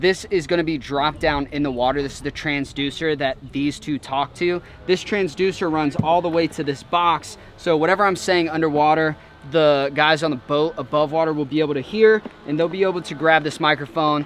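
Over light background noise, a man talks at a fairly quick pace with fairly even intonation in a dry sound with no echo. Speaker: vlogger. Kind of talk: casual vlog chat. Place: boat.

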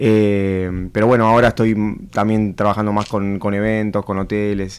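A man's fairly low-pitched voice over a quiet background. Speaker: musician; guest. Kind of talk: radio interview. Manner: calm. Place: studio. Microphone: studio mic.

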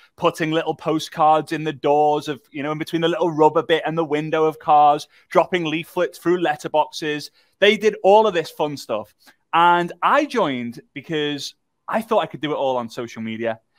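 In a dry recording with no echo and a quiet background, a man speaks with ordinary pitch variation. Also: moderate pace. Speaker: workshop host. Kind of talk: livestream workshop talk, personal story. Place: studio.

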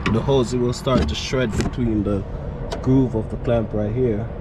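Loud background noise sits behind a man's dry voice with no echo. He speaks at a moderate pace with ordinary pitch variation. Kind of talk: casual vlog chat. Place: street.

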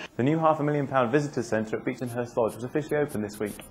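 Over light background noise, a man talks at a very fast pace with ordinary pitch variation. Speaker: news presenter. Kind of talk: local TV newsreading, scripted bulletin. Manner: brisk, polished, even-toned delivery with upbeat sign-off. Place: street. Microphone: lapel.

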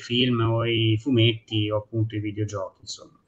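A man talks at a moderate pace. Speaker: restaurant owner; guest. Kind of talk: talk show discussion. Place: home room. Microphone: unstable connection; video call.

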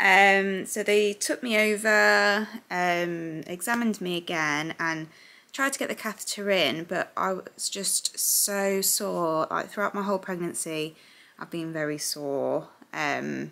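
Her tone bright and sharp, a woman speaks at a fairly slow pace. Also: ordinary pitch variation. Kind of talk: casual vlog chat. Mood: reflective, recounting hard experience. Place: home room. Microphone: phone near.

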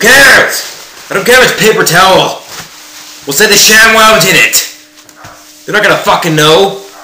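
A man's voice, with ordinary pitch variation and a moderate pace, carries audible room echo. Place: kitchen. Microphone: headset.

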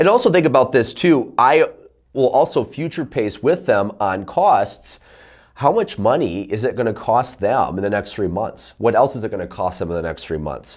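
Against a quiet background, a man with vocal fry speaks at a moderate pace, his pitch swinging very widely. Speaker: sales coach. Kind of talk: tutorial. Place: studio.

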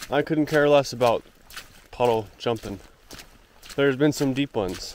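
A man talks with lively intonation. The sound is dry with no echo, over light background noise. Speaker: thru-hiker vlogger. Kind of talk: casual vlog chat. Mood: cheerful. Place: forest. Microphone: phone near.

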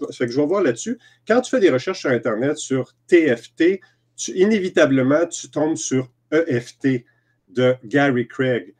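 A man with a Quebec accent talks at a fairly slow pace and a fairly high pitch. His intonation is lively, and the background is quiet. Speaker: EFT practitioner and trainer. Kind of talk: interview. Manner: halting. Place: home room. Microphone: video call.

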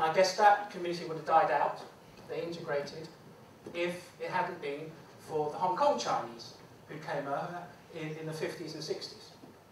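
Light background noise and audible room echo accompany speech delivered at a moderate pace. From Hong Kong, raised in the UK from age 10. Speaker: former police officer and public speaker. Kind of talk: lecture. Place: classroom. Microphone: camera far.

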